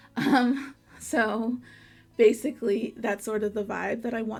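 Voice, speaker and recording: Here a woman talks at a fairly high pitch. Her pace is fairly slow. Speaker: webcomic artist. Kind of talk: drawing tutorial. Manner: rambly, filler-heavy.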